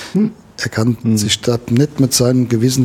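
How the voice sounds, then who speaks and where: This man's voice is somewhat breathy. He keeps a moderate pace and his pitch varies in an ordinary way. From Germany, Westerwald. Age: 60s. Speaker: conservationist and angler. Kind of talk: interview.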